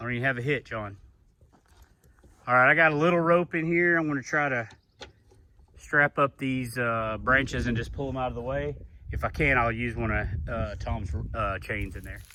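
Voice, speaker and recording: Speaking at a moderate pace with long, frequent pauses, a man uses a bright, sharp tone, medium pitch and ordinary pitch variation. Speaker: farmer. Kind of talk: casual vlog narration. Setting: outdoors.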